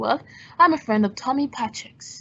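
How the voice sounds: A woman uses a put-on character voice with a fairly high pitch and a bright, sharp tone. Vocal fry and a slightly husky edge mark her delivery at a moderate pace. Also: ordinary pitch variation.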